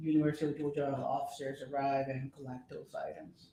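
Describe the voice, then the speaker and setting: This is a man speaking. He talks with a Spanish accent. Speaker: police officer testifying as witness. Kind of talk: court testimony. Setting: courtroom.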